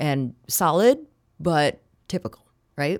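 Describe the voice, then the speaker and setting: A woman speaks at a fairly slow pace with an Upper Midwest accent on a very clean recording with a silent background. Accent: Upper Midwest American. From Wisconsin, Kenosha. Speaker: TV meteorologist and anchor. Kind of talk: interview. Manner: conversational.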